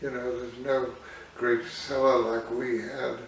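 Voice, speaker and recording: Audible room echo and noticeable background noise around a man, his pitch varying normally. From Isle of Man. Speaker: artist. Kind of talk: oral history interview. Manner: hesitant, with fillers.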